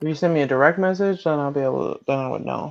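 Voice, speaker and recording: With an American accent, the speaker moves along at a fairly quick pace. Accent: Southern accent others notice. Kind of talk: casual chat.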